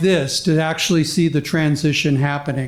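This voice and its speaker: Audible room echo surrounds the voice. A man speaks with an American accent. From Tucson, Arizona. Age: 70s. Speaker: public commenter, retired energy researcher. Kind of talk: public comment at board meeting. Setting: school board meeting room.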